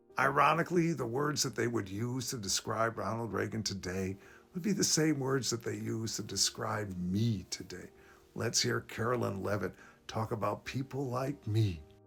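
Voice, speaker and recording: A man talks at a medium pitch with lively intonation. Vocal fry runs through his voice. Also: moderate pace. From US, child of immigrants. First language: Polish and Yiddish. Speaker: political commentator. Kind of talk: political commentary monologue.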